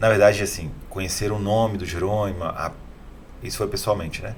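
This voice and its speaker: Noticeable background noise and audible room echo surround a man speaking very fast with a fairly low pitch. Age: 30s. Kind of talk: interview.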